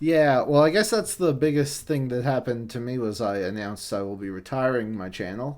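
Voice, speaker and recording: Using a plain, everyday voice, a man of medium pitch speaks with lively intonation. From Newfoundland, Canada. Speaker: manga reviewer and podcast host. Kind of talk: casual podcast chat.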